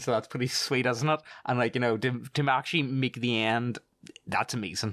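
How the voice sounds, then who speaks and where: The recording is very clean, with a silent background. A man talks at a fairly quick pace with a medium pitch. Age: 30s. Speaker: story narrator. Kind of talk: emotional closing remarks. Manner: halting.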